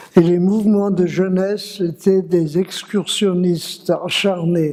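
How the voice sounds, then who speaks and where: Very slow, monotone, flat delivery over noticeable background noise. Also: man, high pitch for a man. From Strasbourg, Alsace, France. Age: 100+. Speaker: former scout, witness. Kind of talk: testimony.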